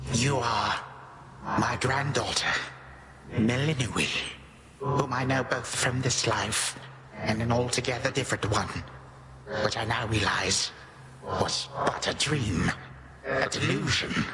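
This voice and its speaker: Over clear background noise, a man uses a put-on character voice at a medium pitch with fairly even intonation. He goes at a fairly slow pace with long, frequent pauses. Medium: video game. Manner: grave, archaic formal speech.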